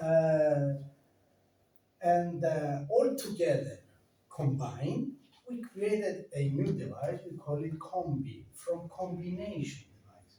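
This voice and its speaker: Speaking at a very slow pace with a non-native accent, a man uses a high pitch, lively intonation and big swings in loudness. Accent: foreign. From Greece. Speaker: company director presenting health devices. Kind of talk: product presentation. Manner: halting, with hesitations.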